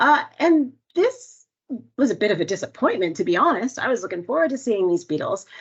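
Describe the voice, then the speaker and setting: With a Canadian accent, a woman speaks at a high pitch and a fairly quick pace, her voice making very wide pitch swings. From Canada. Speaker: entomologist. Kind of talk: webinar presentation.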